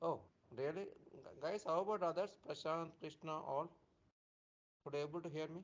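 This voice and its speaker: This soft-spoken man has a high voice and speaks at a moderate pace, his fairly even intonation broken by long, frequent pauses. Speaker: software trainer. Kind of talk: live online training class. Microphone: too quiet.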